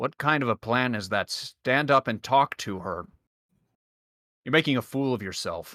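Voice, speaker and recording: Using a gruff, put-on character voice, a man at medium pitch talks at a moderate pace with long, frequent pauses. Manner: scolding.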